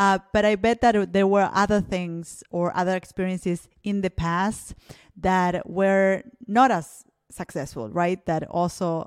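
A woman with a Spanish accent speaks at a fairly slow pace and medium pitch. The sound is dry and close with no echo, and her pitch varies in an ordinary way. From Argentina. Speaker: podcast host. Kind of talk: interview. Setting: video call.

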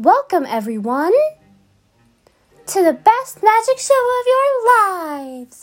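Over music in the background, a woman uses a put-on character voice with an extremely high pitch and very wide pitch swings, at a fairly slow pace with long, frequent pauses. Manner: theatrical.

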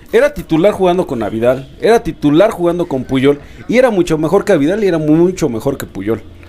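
A man with a high voice talks at a fairly quick pace, his pitch swinging very widely. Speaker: podcast co-host. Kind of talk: casual chat.

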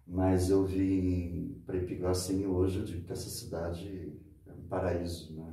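In a room with audible echo, a man with a very deep, low pitch and a dark, mellow, somewhat breathy tone talks at a fairly slow pace with fairly even intonation. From Santos, São Paulo state, Brazil. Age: 50s. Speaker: local handyman and mentor. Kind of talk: interview conversation.

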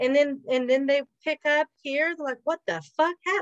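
A woman speaks at a moderate pace. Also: dry, close sound with no echo. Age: 40s. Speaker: podcast co-host. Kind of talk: casual chat.

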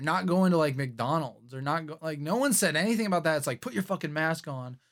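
Lively intonation and a very fast pace come through on a very clean recording with a silent background. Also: man. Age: 20s. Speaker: podcast host and music producer. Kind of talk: casual chat. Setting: studio.

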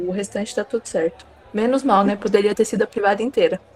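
Very fast speech from a woman with a fairly high pitch and ordinary pitch variation, over noticeable background noise. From interior of São Paulo state, Brazil. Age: 20s. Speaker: nurse. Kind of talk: casual chat.

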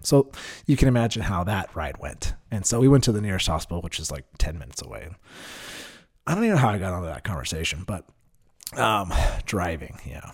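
A man with a very deep, low voice and vocal fry talks at a very fast pace with lively intonation. His loudness swings widely, and he takes long, frequent pauses. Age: 30s. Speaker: podcast host. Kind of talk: casual monologue. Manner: hesitant, many fillers.

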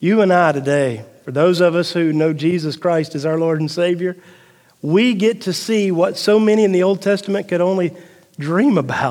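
Here a man speaks with a Southern US accent at a moderate pace. His voice is high. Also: ordinary pitch variation. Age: 40s. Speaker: pastor. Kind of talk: sermon. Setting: church.

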